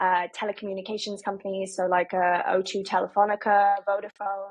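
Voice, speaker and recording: A woman talks with a British accent at a medium pitch. Her pace is fairly quick. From UK. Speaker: marketing executive. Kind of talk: podcast interview. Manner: many filler ums.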